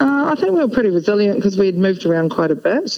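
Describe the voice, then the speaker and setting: A woman with a New Zealand accent, her pitch swinging very widely, over noticeable background noise. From New Zealand, North Otago. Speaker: former professional tennis player and coach. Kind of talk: casual interview.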